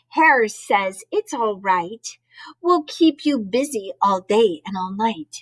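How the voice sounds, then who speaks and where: Putting on a squeaky character voice, a woman talks at a very slow pace and a fairly high pitch with very wide pitch swings. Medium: read story.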